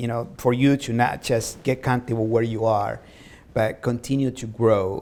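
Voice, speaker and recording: A man with a Spanish accent talks with fairly even intonation. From Latin America, immigrant. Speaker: talk show host. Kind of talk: interview.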